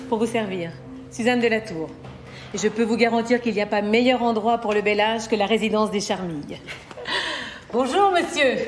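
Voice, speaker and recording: A woman speaks at a moderate pace in a fairly high pitch, with ordinary pitch variation, very even loudness, long, frequent pauses and light background noise. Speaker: actress. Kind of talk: acting demo reel scenes. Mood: cheerful, animated, comedic. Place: home room.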